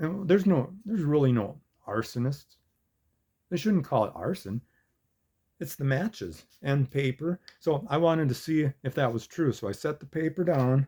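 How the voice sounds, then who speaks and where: At a moderate pace, a man talks in a fairly high pitch with lively intonation, a somewhat breathy, dark and mellow tone, and a dry, close sound with no echo. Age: 60s. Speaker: YouTuber. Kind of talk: satirical monologue.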